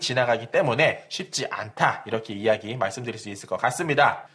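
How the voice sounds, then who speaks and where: Keeping a moderate pace, a man talks with very wide pitch swings. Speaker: real estate YouTuber. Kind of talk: real estate explainer.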